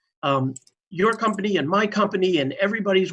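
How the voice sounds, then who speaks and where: With an unremarkable speaking voice, a man talks at a fairly quick pace with ordinary pitch variation. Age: 60s. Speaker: health reporter. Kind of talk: news discussion.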